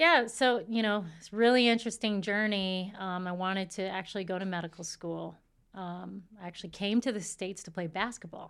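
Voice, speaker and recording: A woman with an unremarkable speaking voice talks at medium pitch and a moderate pace with hardly any pauses, ordinary pitch variation, and big swings in loudness, on a very clean recording with a silent background. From Saskatchewan, Canada, Filipino family. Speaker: cell biologist and mother. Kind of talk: interview, personal story.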